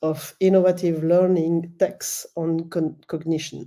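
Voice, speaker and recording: This voice has a dark, mellow tone and a French accent. Its delivery is fairly slow, with monotone, flat intonation. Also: woman. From French-speaking Switzerland. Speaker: professor. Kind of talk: conference presentation. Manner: halting, many fillers.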